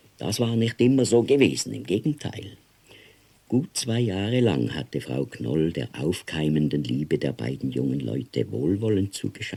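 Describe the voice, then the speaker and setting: At a moderate pace, a man speaks in a dark, mellow tone with vocal fry and very wide pitch swings. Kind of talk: audiobook reading of a novella.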